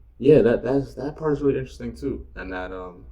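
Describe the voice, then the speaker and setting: The speaker is a man with a New York accent. He keeps to a moderate pace. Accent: American (New York). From New York, US. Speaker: podcast guest. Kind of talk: casual chat. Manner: halting, many fillers.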